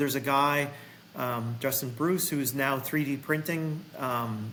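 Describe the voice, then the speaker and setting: Audible room echo surrounds speech delivered at a fairly slow pace with fairly even intonation. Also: man. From Massachusetts, US. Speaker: golf professional and vintage equipment business owner. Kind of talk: casual chat.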